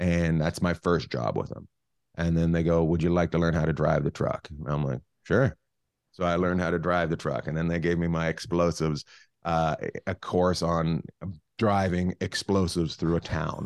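Against a quiet background with a dry, close sound and no echo, a man with a western Canadian accent speaks at a moderate pace in a very deep, low pitch with fairly even intonation. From Canada, northern British Columbia. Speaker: comedian. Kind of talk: casual chat. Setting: video call.

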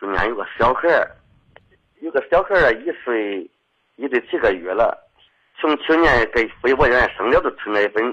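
A man moves at a moderate pace, stopping often for long pauses. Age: 50s. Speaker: caller. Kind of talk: call-in advice conversation. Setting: phone call. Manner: halting.

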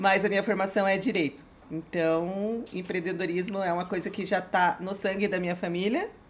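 Amid noticeable background noise, a woman of medium pitch talks at a moderate pace with fairly even intonation. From Curitiba, southern Brazil. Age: 40s. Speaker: motorcycle dealership owner. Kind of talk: casual chat.

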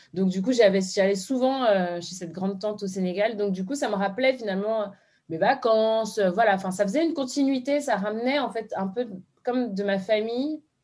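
Speaking with ordinary pitch variation, a woman with an unremarkable speaking voice keeps a medium pitch and a moderate pace. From France, Beninese parents. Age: 30s. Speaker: social media influencer. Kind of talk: interview testimony.

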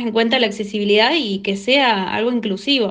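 A woman speaks in a plain, everyday voice with fairly high pitch. Her intonation is fairly even. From Argentina, Córdoba. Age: young. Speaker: blind technology user. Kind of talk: testimony.

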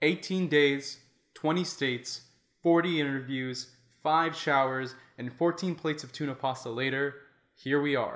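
A man with an American accent speaks at a fairly slow pace in an ordinary speaking voice. His pitch is fairly high, with fairly even intonation. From Florida. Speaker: podcast host. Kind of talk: scripted narration.

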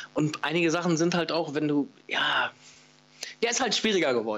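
A man's voice with a fairly high pitch. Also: very even loudness. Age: 40s. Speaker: paintball player and former stream commentator. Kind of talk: casual interview.

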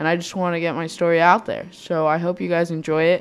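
A woman talks at a very fast pace. Her pitch sits fairly low. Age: 20s. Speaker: podcast host. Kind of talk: personal monologue. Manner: halting.

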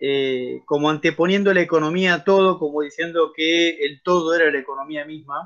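A speaker with a Rioplatense accent talks at a moderate pace with hardly any pauses. The intonation stays fairly even against a quiet background. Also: man, fairly high pitch for a man. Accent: Argentine Spanish (rioplatense). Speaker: discussion group moderator. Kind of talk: casual discussion. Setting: video call.

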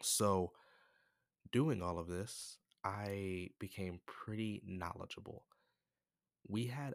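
Very slow speech from a man at a fairly low pitch, with ordinary pitch variation and a dry, close sound with no echo. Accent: American. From United States. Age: 20s. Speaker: podcaster. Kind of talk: storytelling monologue. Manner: casual, laughs often.

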